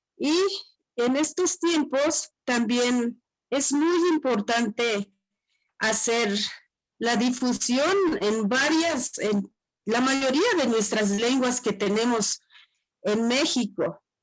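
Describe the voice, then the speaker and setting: A high-pitched woman with a Chiapas accent, very slow pace, long and frequent pauses, lively intonation and very even loudness. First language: Tzotzil (speaking Spanish). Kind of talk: panel presentation.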